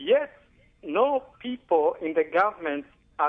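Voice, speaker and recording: A man speaks with very wide pitch swings. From Tanzania, East Africa. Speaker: caller. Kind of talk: call-in comment. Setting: phone call.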